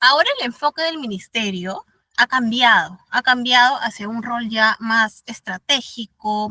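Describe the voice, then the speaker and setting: An animated woman with a fairly high pitch and ordinary pitch variation, dry and close with no echo. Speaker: instructor in labor law course. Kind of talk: online lecture. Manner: fast.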